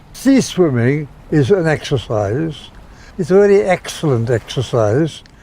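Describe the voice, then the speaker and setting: Against noticeable background noise, a man speaks very slowly at a fairly high pitch with very wide pitch swings. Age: 80s+. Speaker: retired sea swimmer. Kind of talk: documentary interview.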